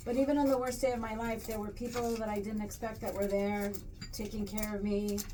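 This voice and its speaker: Her intonation fairly even, a woman speaks at a fairly quick pace with audible room echo. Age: 60s. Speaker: podcast co-host. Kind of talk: casual chat.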